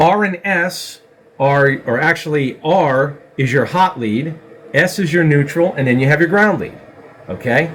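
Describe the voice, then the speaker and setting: A man speaks fairly slowly in a fairly high voice, his pitch varying in an ordinary way, as noticeable background noise continues. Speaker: CNC systems technician. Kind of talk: tutorial.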